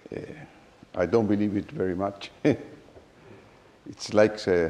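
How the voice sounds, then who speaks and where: A man with a Spanish accent speaks at a fairly slow pace, his intonation fairly even. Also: fairly low pitch for a man. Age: 60s. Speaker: mathematician. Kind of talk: reading a prepared speech.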